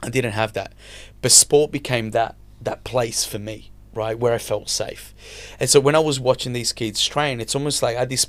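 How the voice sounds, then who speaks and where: Over a silent background on a very clean recording, a man speaks at a medium pitch with monotone, flat intonation. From Italy. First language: Italian. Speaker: mindset coach and entrepreneur. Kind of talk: podcast interview.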